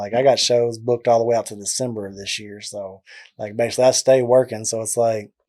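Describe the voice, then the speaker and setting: In a Southern US accent, a man speaks in a flat monotone with a dark, mellow tone. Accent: deep southern drawl. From Texas, McGregor. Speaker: music videographer. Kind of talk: casual interview chat.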